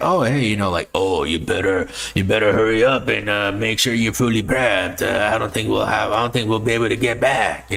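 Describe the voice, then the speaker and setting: Over noticeable background noise, a man does a put-on character voice at medium pitch and a fairly quick pace, with hardly any pauses. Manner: hurried, urging.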